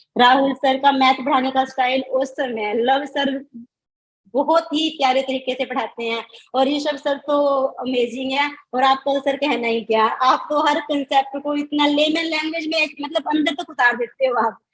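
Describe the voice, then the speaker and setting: This woman's voice sits high in pitch, and her intonation stays fairly even. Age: 40s. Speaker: student who passed an accounting exam, mother. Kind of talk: interview about exam success.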